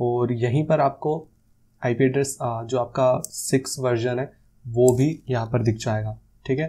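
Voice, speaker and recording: A man speaks somewhat breathily at a fairly slow pace, keeping his intonation fairly even. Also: medium pitch for a man. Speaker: tech YouTuber. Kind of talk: tutorial. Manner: casual. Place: studio. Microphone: lapel.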